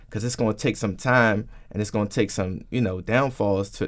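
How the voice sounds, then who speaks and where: An unremarkable speaking voice from a man with an American accent, fairly low in pitch, at a fairly quick pace, in a very clean recording with a silent background. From Washington, D.C. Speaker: radio DJ and on-air personality. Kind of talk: radio interview.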